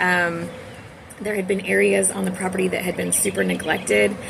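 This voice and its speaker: In an American accent, a woman talks at a moderate pace, with audible room echo and noticeable background noise. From Texas. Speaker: homemaker and gardening vlogger. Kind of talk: casual vlog talk.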